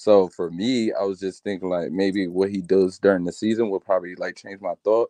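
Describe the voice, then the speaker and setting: Over a quiet background, a man with a dark, mellow, fairly low voice talks at a fairly quick pace with hardly any pauses and fairly even intonation, the sound dry with no echo. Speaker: sports commentator. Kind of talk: casual chat. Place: home room. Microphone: video call.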